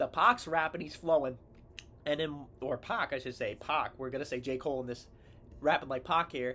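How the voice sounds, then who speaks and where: This is an ordinary speaking voice: a man at a fairly high pitch, with ordinary pitch variation and a moderate pace. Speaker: sports and rap video creator. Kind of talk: casual song breakdown commentary. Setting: seated, reading lyrics from a screen.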